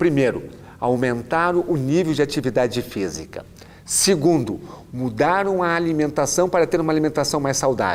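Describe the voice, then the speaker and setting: A man speaks at a fairly slow pace. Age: 60s. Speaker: orthopedic doctor. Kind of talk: lecture.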